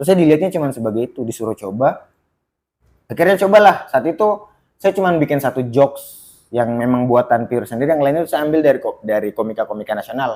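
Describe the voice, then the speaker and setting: This man's voice has a dark, mellow tone and fairly high pitch, moving at a very fast pace with lively intonation. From Baubau, Southeast Sulawesi, eastern Indonesia. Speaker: stand-up comedian. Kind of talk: casual podcast interview. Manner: conversational, storytelling.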